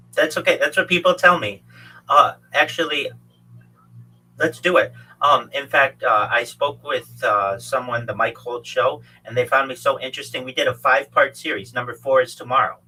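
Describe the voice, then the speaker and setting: A man speaks at a moderate pace, and music can be heard behind him. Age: 40s. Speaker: livestreamer and futurist, guest on podcast. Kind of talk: casual conversation.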